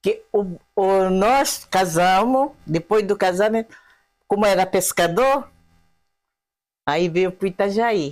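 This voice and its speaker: Very slow and broken by long, frequent pauses, the delivery keeps a very even loudness and ordinary pitch variation. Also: woman, medium pitch for a woman. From Japan (Okinawa region). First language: Japanese (speaking Portuguese). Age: 80s+. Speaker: elderly immigrant, taiko group supporter. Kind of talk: interview, casual chat.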